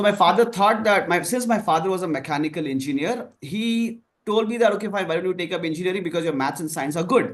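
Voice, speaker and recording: A man speaks with a Kannada accent and a high pitch. He talks at a very fast pace with hardly any pauses. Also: ordinary pitch variation. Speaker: marketing professor. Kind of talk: online panel discussion.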